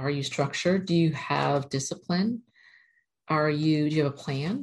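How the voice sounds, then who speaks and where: Her pitch is very deep and low for a woman. She keeps a moderate pace and fairly even intonation. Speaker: spiritual channeler and numerology video host. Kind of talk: casual spiritual talk to camera with guided meditation and channeled message. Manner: talkative.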